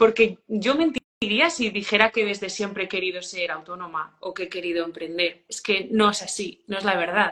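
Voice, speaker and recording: With an unremarkable speaking voice at medium pitch, a woman talks at a moderate pace with ordinary pitch variation and hardly any pauses. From Spain, rural León province. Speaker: hospitality business owner. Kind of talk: interview.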